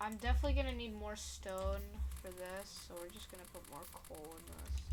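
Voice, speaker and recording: A soft-spoken woman talks at a moderate pace. Audible room echo surrounds her voice. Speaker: gaming video creator. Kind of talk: gameplay commentary. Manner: quiet, soft-spoken; halting, stuttering.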